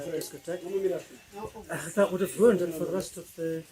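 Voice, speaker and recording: Amid noticeable background noise, a man talks at a fairly quick pace with a high pitch and ordinary pitch variation. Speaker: dance camp participant. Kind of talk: interview answer. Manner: loud; hesitant, many fillers.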